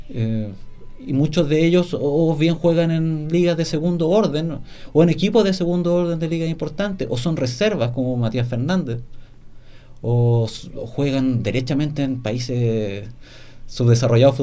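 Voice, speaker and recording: A man speaks in a dark, mellow tone. Room echo can be heard. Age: 30s. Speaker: football journalist. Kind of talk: casual chat.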